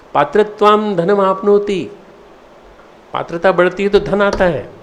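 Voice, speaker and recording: A man's voice over noticeable background noise. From India, Madhya Pradesh. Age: 60s. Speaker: spiritual leader. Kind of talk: address to students. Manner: halting.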